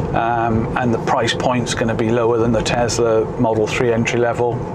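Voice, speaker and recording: Loud background noise fills this recording. Over it, a man talks at a moderate pace. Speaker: car owner vlogger. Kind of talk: casual vlog chat. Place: car. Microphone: camera far.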